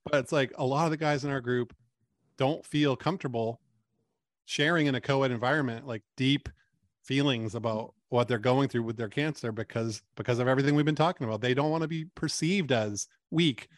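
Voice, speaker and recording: Delivered at a fairly quick pace with ordinary pitch variation, the voice sounds dry and close with no echo, on a very clean recording against a silent background. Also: man, medium pitch for a man. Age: 40s. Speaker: cancer support community founder. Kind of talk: interview.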